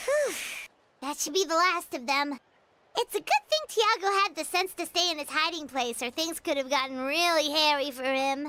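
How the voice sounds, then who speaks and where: Someone puts on a high-pitched character voice and talks at a moderate speed. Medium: video game. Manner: chatty, upbeat.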